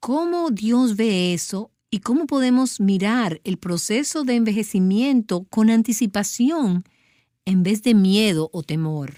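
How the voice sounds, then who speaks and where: Recorded very cleanly against a silent background, with a dry, close sound and no echo, a woman with a fairly high pitch and a dark, mellow tone speaks at a very slow pace with lively intonation. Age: young. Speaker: radio host. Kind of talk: interview.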